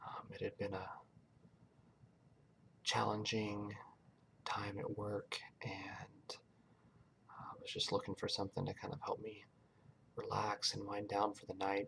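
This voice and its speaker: Soft-spoken delivery at a fairly slow pace, with long, frequent pauses. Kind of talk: casual talk to camera.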